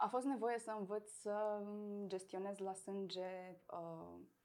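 With fairly even intonation, a woman delivers her words very slowly. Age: 30s. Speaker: person with multiple sclerosis. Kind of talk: interview.

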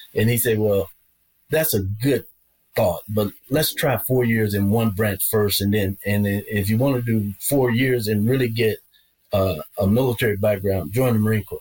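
Somewhat breathy man with very even loudness and ordinary pitch variation. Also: medium pitch for a man, moderate pace. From Arkansas. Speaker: retired senior military leader. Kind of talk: interview conversation.

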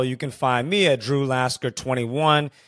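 With an American accent, a man speaks in a plain, everyday voice at medium pitch, moderate pace and fairly even intonation. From Houston, Texas. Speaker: podcast host. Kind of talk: casual chat.

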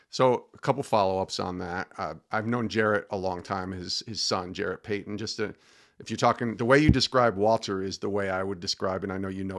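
A normal speaking voice moves at a fairly quick pace with fairly even intonation over a quiet background. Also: man. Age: 50s. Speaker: podcast host. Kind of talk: interview.

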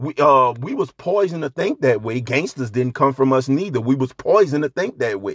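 A man talks at a fairly quick pace in an animated tone with a medium pitch. His intonation is lively, and the sound is dry and close with no echo. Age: 40s. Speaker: podcast host. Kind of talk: solo monologue.

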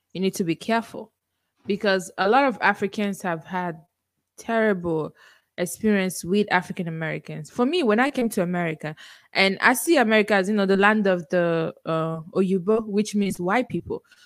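On a very clean recording with a silent background, a woman with a Nigerian accent speaks at a medium pitch. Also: ordinary pitch variation, moderate pace. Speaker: podcaster guest. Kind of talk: casual interview chat.

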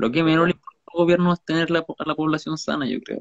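A man speaks with a Chilean accent. His pace is very fast. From Chile, Valparaíso. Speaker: podcast co-host. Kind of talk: casual chat.

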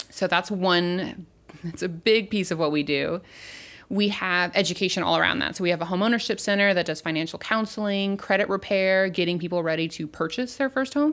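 This woman has an unremarkable speaking voice and an American accent, speaking at a medium pitch and a fairly quick pace with ordinary pitch variation in a very clean recording with a silent background. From US South, Baton Rouge, Louisiana. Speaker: community relations worker. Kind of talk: casual chat.

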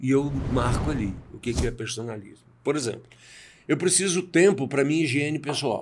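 In an ordinary speaking voice, a man with a fairly high pitch speaks at a moderate pace and uses ordinary pitch variation. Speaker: executive coach and speaker. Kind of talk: interview.

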